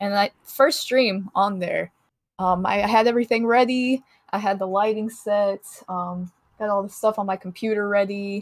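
At a moderate pace, a woman with an unremarkable speaking voice keeps a medium pitch and fairly even intonation. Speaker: Twitch streamer guest. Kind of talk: casual chat.

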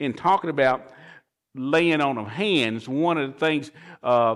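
On a very clean recording with a silent background, a man with a plain, everyday voice speaks at a fairly slow pace, fairly high in pitch with ordinary pitch variation. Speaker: pastor. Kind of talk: sermon.

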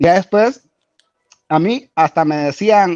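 Over a quiet background, a man's high-pitched voice makes very wide pitch swings, the sound dry and close with no echo. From Guatemala, Garifuna Caribbean coast. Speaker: Garifuna community figure and musician. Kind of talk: interview. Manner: halting, many repetitions and fillers.

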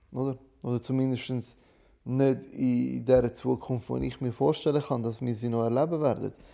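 Dark, mellow male voice of medium pitch with a non-native accent, fairly even intonation, moderate pace, and a very clean recording with a silent background. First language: not German (speaking German). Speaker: podcast co-host. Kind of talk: casual chat.

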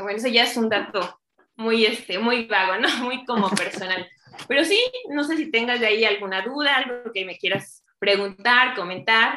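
At a fairly high pitch and a moderate pace, a woman talks in an unremarkable speaking voice. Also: ordinary pitch variation. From Mexico, Chignahuapan, Puebla. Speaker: clinical lab director and chemist. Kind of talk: interview.

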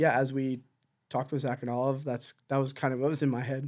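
A man with an Ontario accent, medium-pitched and flat in a monotone, at a moderate pace on a very clean recording with a silent background. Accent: Canadian English (Ontario). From Southern Ontario, Canada. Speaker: missionary church planter. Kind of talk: interview. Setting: studio.

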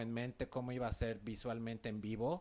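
This man has a normal speaking voice, medium in pitch, and he talks at a fairly slow pace. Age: 40s. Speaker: podcast host. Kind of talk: interview.

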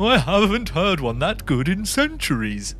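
A man's put-on character voice, high in pitch, at a moderate pace over clear background noise. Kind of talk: archaic, spooky.

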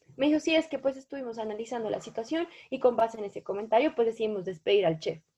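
A woman's fairly high voice rushes by at a very fast pace. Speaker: food influencer and law student. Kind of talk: podcast interview.

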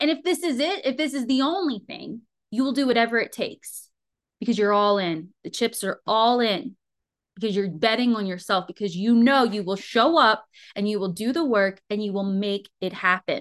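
A woman's animated, fairly high voice with lively intonation at a moderate pace. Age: 30s. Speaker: podcast host and business coach. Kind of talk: motivational solo podcast.

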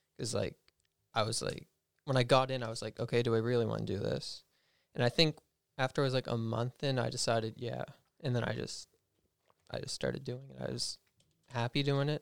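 A man at a fairly quick pace with long, frequent pauses, in a dry, close sound with no echo. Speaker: culinary student. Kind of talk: casual chat. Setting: studio.

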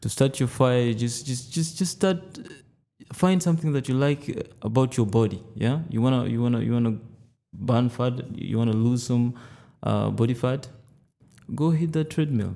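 A man with a dark, mellow tone speaks at medium pitch and a moderate pace, with ordinary pitch variation and long, frequent pauses. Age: 20s. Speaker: personal trainer. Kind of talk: casual interview.

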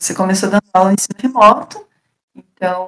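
Her sound dry and close with no echo, a woman speaks at a fairly slow pace. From Paraná, Brazil (Castro). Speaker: engineering student. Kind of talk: casual chat.

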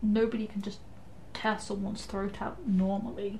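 A woman with a dark, mellow tone and vocal fry speaks at a medium pitch and a moderate pace. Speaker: tabletop RPG player. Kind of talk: live-play tabletop RPG, casual chat with in-character speech.

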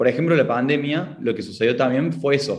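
A man with a Córdoba accent speaks with lively intonation. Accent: Cordobés Argentine. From Argentina, Córdoba. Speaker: education entrepreneur, engineer. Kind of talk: interview conversation. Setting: remote call.

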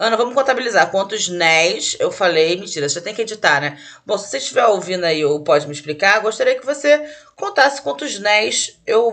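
A woman talks at a fairly quick pace in a medium-pitched voice that swings very widely in pitch. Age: 30s. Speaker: podcast host and comedian. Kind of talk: solo casual monologue. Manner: fast, rambling with fillers.

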